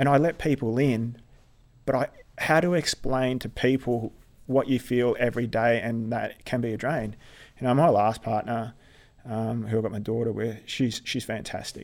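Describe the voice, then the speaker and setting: The speaker has an Australian accent, fairly even intonation and a moderate pace. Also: man, medium pitch for a man. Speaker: army veteran and occupational therapist. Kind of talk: interview. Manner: halting.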